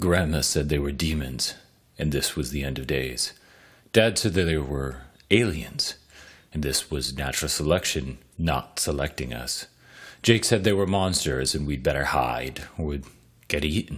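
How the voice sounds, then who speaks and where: The voice carries vocal fry and ordinary pitch variation at a moderate pace. The recording is very clean with a silent background. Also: man, very deep, low pitch for a man. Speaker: podcast host and story reader. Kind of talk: reading aloud.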